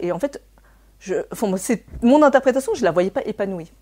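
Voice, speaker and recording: A woman talks at a moderate pace with lively intonation and a dark, mellow tone. The recording is very clean, with a silent background. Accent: Cantonese. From France, raised by Chinese immigrant parents. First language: Cantonese (speaking French). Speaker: therapist. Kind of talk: interview. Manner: hesitant, many fillers.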